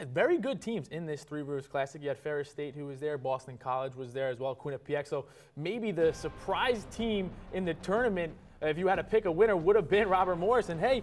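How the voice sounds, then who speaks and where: Over light background noise, a man rattles along very fast with lively intonation. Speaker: studio analyst. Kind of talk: sports commentary. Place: studio. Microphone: lapel.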